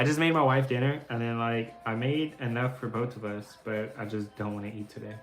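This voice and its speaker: Music can be heard behind the voice. Its intonation rises and falls in a lively way. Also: man. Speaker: artist streaming live drawing. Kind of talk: casual live stream chat while drawing. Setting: live stream. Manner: quiet.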